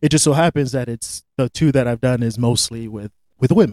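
Dark and mellow in tone, the voice speaks at a fairly quick pace with an American accent and fairly even intonation. The sound is dry and close, with no echo. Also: man. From Florida. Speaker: film director and producer. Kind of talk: interview.

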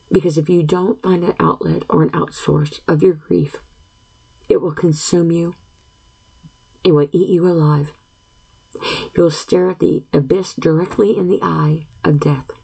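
Over noticeable background noise, the speech runs at a fairly slow pace with long, frequent pauses, fairly even intonation and very even loudness. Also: woman, fairly low pitch for a woman. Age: 50s. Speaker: podcast host. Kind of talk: solo monologue podcast. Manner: frequent throat clearing and filler words; halting.

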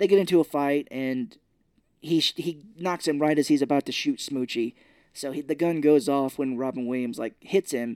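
A man's dark, mellow voice with an American accent, fairly high in pitch with ordinary variation, at a moderate pace, in a very clean, dry, close recording with a silent background and no echo. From Missouri. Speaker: podcast co-host. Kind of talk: casual chat. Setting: podcast recording with wife.

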